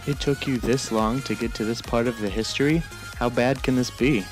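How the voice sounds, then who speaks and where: Music plays behind a man who talks at a moderate pace with very even loudness. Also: medium pitch for a man, fairly even intonation. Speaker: guest voice-over co-host.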